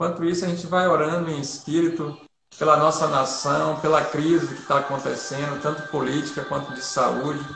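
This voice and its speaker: Over background music and audible room echo, a man talks at a fairly slow pace with fairly even intonation. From Bahia, Brazil (Feira de Santana). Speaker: pastor. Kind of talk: church livestream talk and prayer. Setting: online livestream. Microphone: too quiet.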